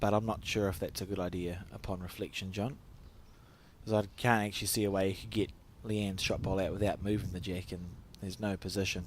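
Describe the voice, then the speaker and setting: In a New Zealand accent, a man with a fairly low pitch speaks at a very fast pace with fairly even intonation. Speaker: bowls commentator. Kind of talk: live commentary.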